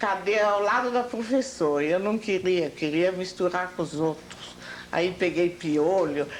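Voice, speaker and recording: With a German accent and lively intonation, a woman speaks at a medium pitch over noticeable background noise. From Germany, Hamburg. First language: German (speaking Portuguese). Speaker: interviewee, oral history witness. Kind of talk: oral history interview. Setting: at home.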